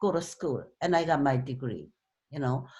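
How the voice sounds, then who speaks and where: This is a woman's voice. She speaks with a slight Korean accent. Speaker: club speaker, author. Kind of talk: talk to club meeting.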